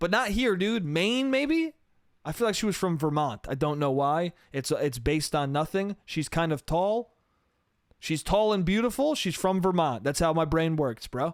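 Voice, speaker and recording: In an animated tone and a high voice, a man speaks at a moderate pace with very even loudness, on a very clean recording with a silent background. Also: lively intonation. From New York State. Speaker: comedian podcast host. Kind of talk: casual solo podcast monologue.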